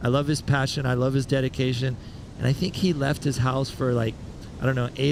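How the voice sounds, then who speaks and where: A man's medium-pitched voice carries monotone, flat intonation. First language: Spanish. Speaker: surf commentator. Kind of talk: live commentary.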